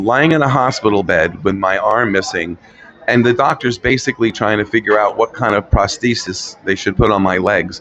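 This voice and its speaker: A man talks at a fairly quick pace in a fairly low pitch. Noticeable background noise runs behind him. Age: 60s. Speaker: motivational guest sharing life story. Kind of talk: casual interview. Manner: hesitant, repeats words.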